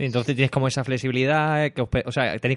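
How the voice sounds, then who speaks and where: Over a quiet background, a man talks very fast at a medium pitch, the sound dry and close with no echo. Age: 30s. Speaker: podcast host. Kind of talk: casual interview.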